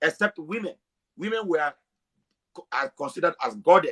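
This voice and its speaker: A man at a very fast pace with very wide pitch swings, dry and close with no echo. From Africa. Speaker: self-described historian. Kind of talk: heated debate.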